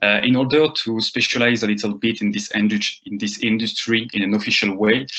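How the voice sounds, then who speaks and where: Someone speaks with a French accent at a fairly quick pace, with fairly even intonation. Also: man, medium pitch for a man, hardly any pauses. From France (Rennes, Brittany). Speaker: marketing agency founder. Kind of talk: lecture. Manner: halting, many fillers.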